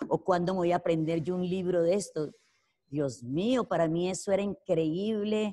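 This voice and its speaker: A woman speaks with a dark, mellow tone and a fairly low pitch. Her pitch variation is ordinary, and the background is quiet. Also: moderate pace. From Colombia, rural Caldas. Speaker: network marketing entrepreneur; interviewee. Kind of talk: interview testimony. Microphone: video call.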